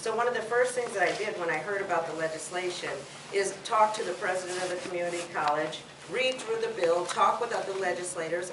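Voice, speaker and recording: The speech moves at a fairly quick pace with ordinary pitch variation, amid noticeable background noise and audible room echo. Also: woman. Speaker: state legislator. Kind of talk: political forum speech. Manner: loud.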